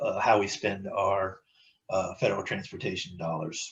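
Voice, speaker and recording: The speaker is a man with a somewhat breathy voice. He keeps to a moderate pace. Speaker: transportation planning staff presenter. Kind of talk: public meeting presentation. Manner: halting, many fillers and repetitions.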